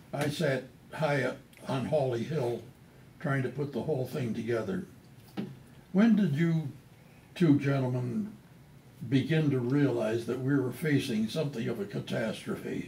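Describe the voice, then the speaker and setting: A man speaks at a fairly slow pace, leaving long, frequent pauses, and his pitch varies in an ordinary way. Room echo is audible. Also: medium pitch for a man. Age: 80s+. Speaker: retired TV news director. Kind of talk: casual chat.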